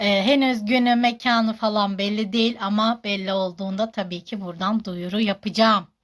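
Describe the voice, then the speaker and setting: On a very clean recording with a silent background, a woman at medium pitch talks at a moderate pace with hardly any pauses. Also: fairly even intonation. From Turkey, Kahramanmaraş. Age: 30s. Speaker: social media personality. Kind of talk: Q&A vlog. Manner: halting.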